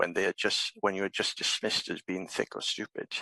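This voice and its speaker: Speaking at a very fast pace with a Welsh accent, a man is heard in a dry, close sound with no echo. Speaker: politician. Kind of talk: parliamentary speech. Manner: halting.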